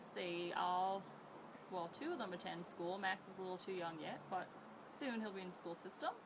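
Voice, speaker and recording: A woman speaks at a medium pitch and a moderate pace with fairly even intonation. Noticeable background noise and audible room echo fill the recording. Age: 30s. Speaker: elementary teacher, council candidate. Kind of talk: interview.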